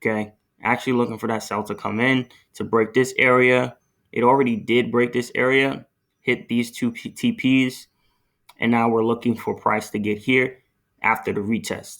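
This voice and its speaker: The speech comes in a flat monotone, broken by long, frequent pauses. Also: man, medium pitch for a man, moderate pace. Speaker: forex trader. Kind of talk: tutorial.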